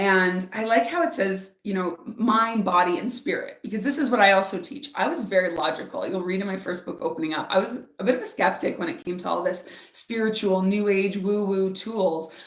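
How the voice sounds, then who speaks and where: A woman with a Canadian accent speaks at a medium pitch and a fairly quick pace. Her tone is animated and her intonation lively. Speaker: spiritual author and speaker. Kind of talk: live stream oracle reading and guided meditation. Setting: live stream. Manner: animated, loud, talks with hands; softer during meditation.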